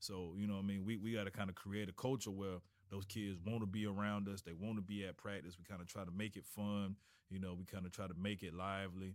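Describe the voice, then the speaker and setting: Someone with an American accent talks at a fairly quick pace with fairly even intonation. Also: man. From Florida, Tallahassee. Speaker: high school football coach. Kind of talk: casual interview. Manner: halting, many repetitions and fillers.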